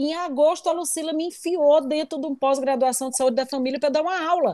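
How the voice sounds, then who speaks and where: A woman speaks at a fairly quick pace with a high pitch. Her tone is dark and mellow. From Brazil, Northeast. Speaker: university professor. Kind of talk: online class hosting. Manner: talkative.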